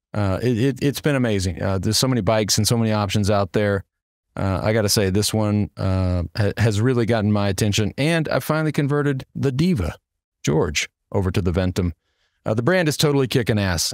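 The delivery is fairly quick with lively intonation, recorded with a dry sound with no echo and a quiet background. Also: man, fairly low pitch for a man. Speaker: podcast host. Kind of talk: sponsor ad read. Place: home room.

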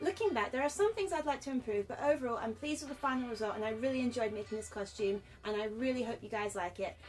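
With faint music behind her, a woman talks very fast in a high voice with ordinary pitch variation. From United Kingdom. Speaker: cosplayer and makeup artist. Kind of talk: casual talk to camera. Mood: hopeful, earnest. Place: home room. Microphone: webcam.

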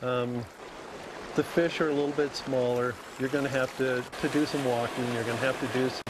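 A man is heard in a dry sound with no echo, with noticeable background noise behind him. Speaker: fishing guide. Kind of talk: interview answer. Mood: relaxed, enthusiastic. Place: waterside.

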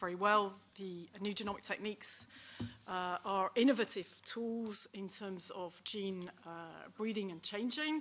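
With ordinary pitch variation, a woman talks at a fairly slow pace. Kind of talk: panel presentation. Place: meeting room. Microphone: podium.

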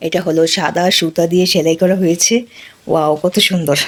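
This is a woman speaking. Her tone is animated. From Bangladesh, Barisal region. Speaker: village life vlogger. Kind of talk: casual product showcase vlog. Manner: animated, exclamatory.

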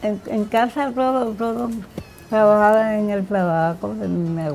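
Music plays in the background as a woman speaks. Her pace is fairly slow and her pitch varies in an ordinary way. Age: 70s. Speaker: tobacco leaf stripper and cigar maker. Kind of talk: interview answer.

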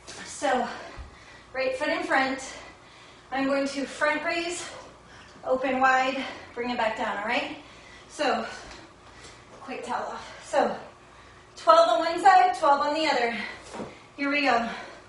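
A woman with a high pitch and ordinary pitch variation speaks at a fairly slow pace, leaving long, frequent pauses. There is audible room echo and light background noise. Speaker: fitness instructor. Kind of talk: workout instruction. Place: home room. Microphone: camera far.

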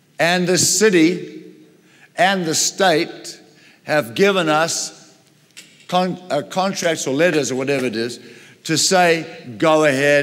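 At a very slow pace, a man talks with long, frequent pauses. His pitch is fairly high, with ordinary variation. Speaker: pastor / preacher. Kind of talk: sermon with personal anecdote. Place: church.

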